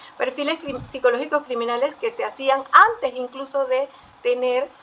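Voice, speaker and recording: A woman projects a raised, high voice at a moderate pace. Her pitch variation is ordinary. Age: 60s. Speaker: forensic psychologist. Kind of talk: panel talk. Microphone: audio slightly distorted.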